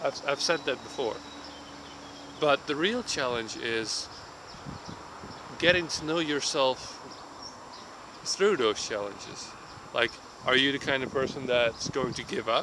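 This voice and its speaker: Over noticeable background noise, a man with a fairly high pitch talks at a fairly slow pace, with ordinary pitch variation and long, frequent pauses. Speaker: vlogger. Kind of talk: casual vlog monologue. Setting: outdoors in a park. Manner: halting, stumbling over words. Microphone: tablet recording, sound may be poor.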